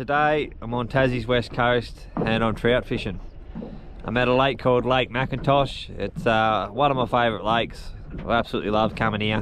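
Against noticeable background noise, a man talks at a moderate pace with fairly even intonation in a dry sound with no echo. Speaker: fishing vlogger. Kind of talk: casual vlog chat. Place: boat. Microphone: phone near.

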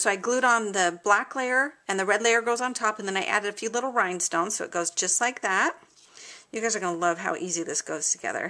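A woman speaks very fast with ordinary pitch variation while the background stays quiet. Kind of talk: tutorial. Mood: cheerful, enthusiastic.

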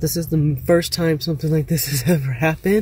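Amid noticeable background noise, a woman with ordinary pitch variation is heard in a dry sound with no echo. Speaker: van dweller vlogger. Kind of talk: casual vlog chat. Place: car. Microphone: phone near.

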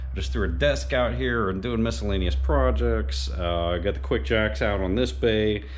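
Over light background noise, a man with a very deep, low pitch speaks at a moderate pace in a somewhat breathy voice. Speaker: car vlogger. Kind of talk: casual vlog chat. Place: garage. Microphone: phone near.

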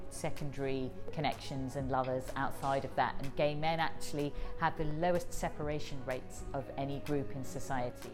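Clear music plays behind a woman whose very deep, low voice moves at a moderate pace with fairly even intonation. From England. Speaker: comedian, writer and broadcaster. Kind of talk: interview answer. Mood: thoughtful, friendly.

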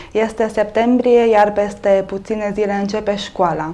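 The woman speaks at a moderate pace with monotone, flat intonation. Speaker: TV show host. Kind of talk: talk show introduction and interview questions. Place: studio. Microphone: lapel.

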